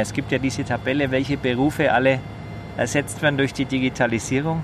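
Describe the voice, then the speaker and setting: Amid noticeable background noise, a man with a Franconian accent speaks fairly quickly at a fairly high pitch. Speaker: podcast host. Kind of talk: casual chat. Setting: outdoors on a rooftop terrace.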